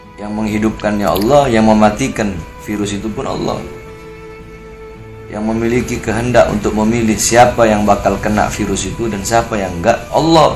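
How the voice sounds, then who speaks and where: A soft-spoken man with a fairly low pitch talks at a moderate pace with fairly even intonation over music in the background. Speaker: Islamic preacher. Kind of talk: Islamic sermon answering a question.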